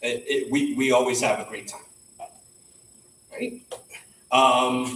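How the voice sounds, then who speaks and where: Loud and very slow, a man talks with long, frequent pauses. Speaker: professional association chapter leader. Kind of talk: meeting welcome announcements. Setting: in-person meeting, live streamed. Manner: casual, filler-heavy.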